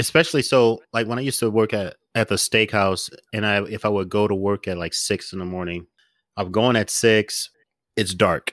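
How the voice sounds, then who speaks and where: With a plain, everyday voice, a man speaks at a moderate pace and a fairly low pitch, his intonation fairly even and the sound dry and close with no echo. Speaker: podcast host. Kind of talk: casual chat.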